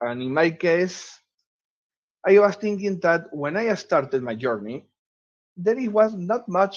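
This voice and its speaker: A man with an Argentine accent talks at a fairly slow pace, with very wide pitch swings and big swings in loudness. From Argentina, Cordoba. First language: Spanish. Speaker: citizen scientist and astronomy student. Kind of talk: webinar talk. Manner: halting, with frequent fillers.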